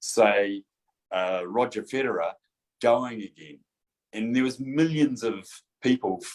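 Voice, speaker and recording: A man speaks with a New Zealand accent. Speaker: chiropractor. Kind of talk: casual chat.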